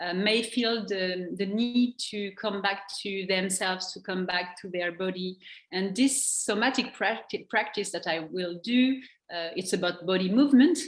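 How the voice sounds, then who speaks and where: Speaking in a French accent, a woman keeps to a fairly slow pace. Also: medium pitch for a woman, ordinary pitch variation. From France. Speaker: NLP trainer and coach. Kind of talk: interview. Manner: halting.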